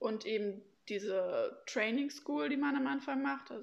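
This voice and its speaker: At a moderate pace, a woman talks in an unremarkable speaking voice with a fairly high pitch. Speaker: former au pair. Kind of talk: casual interview.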